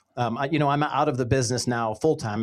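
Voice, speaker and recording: With an American accent, a man speaks in a plain, everyday voice with ordinary pitch variation on a very clean recording with a silent background. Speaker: podcast host and former radio brand manager. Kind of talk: casual interview chat. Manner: upbeat, friendly.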